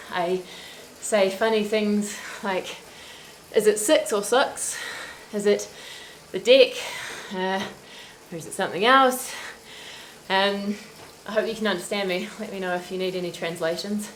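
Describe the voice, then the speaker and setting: A woman speaks in a New Zealand accent with fairly even intonation, big swings in loudness and long, frequent pauses. Noticeable background noise and audible room echo fill the recording. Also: medium pitch for a woman, moderate pace. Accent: Kiwi. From New Zealand, Christchurch. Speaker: cycling livestream host. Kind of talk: casual chat. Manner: chatty.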